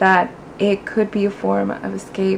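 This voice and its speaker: Noticeable background noise accompanies a woman speaking with a Spanish accent. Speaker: booktuber. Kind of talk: casual vlog, answering tag questions. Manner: casual, conversational with fillers.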